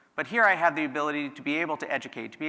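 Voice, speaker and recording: The speech carries ordinary pitch variation, with noticeable background noise behind it. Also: man. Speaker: tech executive keynote speaker. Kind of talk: keynote speech.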